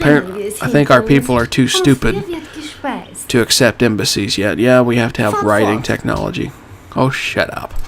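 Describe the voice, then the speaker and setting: A man speaks at a moderate pace with long, frequent pauses and very wide pitch swings. There is noticeable background noise. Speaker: gaming YouTuber. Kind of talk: let's play commentary. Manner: casual, conversational.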